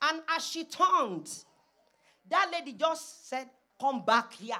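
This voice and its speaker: A woman with a Nigerian accent speaks in a bright, sharp tone, her pitch making very wide swings. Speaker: preacher. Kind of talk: sermon; congregational prayer. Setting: church.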